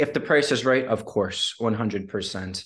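Against a quiet background, a man speaks with a Midwestern American accent at a fairly low pitch. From Detroit, Michigan. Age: 20s. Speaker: entrepreneur and author. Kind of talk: podcast interview.

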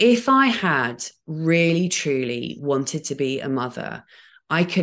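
A woman with an English accent against a quiet background. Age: 40s. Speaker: podcaster. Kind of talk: casual chat. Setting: video call.

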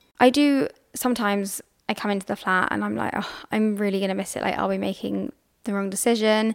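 A woman talks at a very fast pace in a medium pitch. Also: ordinary pitch variation. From England. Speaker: podcast co-host. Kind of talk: casual chat. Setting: at home on a sofa.

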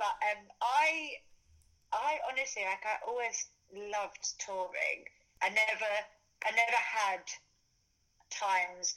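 In a London accent, a woman speaks at a fairly slow pace with long, frequent pauses, a fairly high pitch, ordinary pitch variation and a bright, sharp tone. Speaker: dancer and fitness influencer. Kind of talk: casual interview chat.

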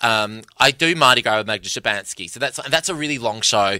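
A man with an Australian accent speaks at a fairly quick pace in a bright, sharp tone, his pitch varying in an ordinary way over a very clean recording with a silent background. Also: dry, close sound with no echo. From Perth, Western Australia. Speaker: comedian. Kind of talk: casual chat.

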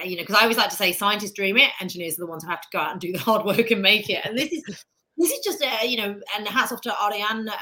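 This woman talks at a very fast pace in a British accent. Her medium-pitched voice has a bright, sharp tone and ordinary pitch variation. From Britain. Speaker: astrophysicist and space journalist. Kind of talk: casual interview chat.

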